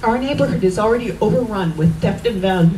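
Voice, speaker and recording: There is audible room echo as a woman speaks with lively intonation. Noticeable background noise sits behind her. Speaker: local resident speaking at a rally. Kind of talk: rally speech. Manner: soft-spoken.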